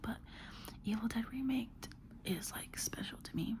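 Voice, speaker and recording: Whispering, a woman speaks at a moderate pace. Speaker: ASMR creator. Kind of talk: casual ASMR ramble. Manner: whispered.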